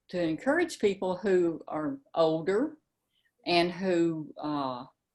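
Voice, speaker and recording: On a very clean recording with a silent background, a woman with a fairly low pitch talks at a very slow pace with lively intonation. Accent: Tennessee. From US South, Memphis, Tennessee. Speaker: mystery novelist. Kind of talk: interview. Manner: halting, with many fillers.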